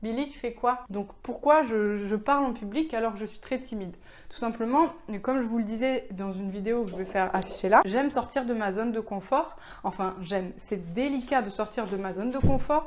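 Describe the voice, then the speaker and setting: A woman talks at a moderate pace. Noticeable background noise surrounds her voice. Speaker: web entrepreneur, vlogger. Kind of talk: casual vlog. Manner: calm, low-energy; hesitant, many fillers.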